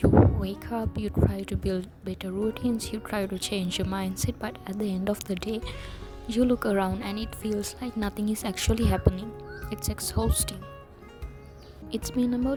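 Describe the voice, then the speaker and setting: Music runs in the background as a woman talks at a moderate rate. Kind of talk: reflective motivational talk to camera.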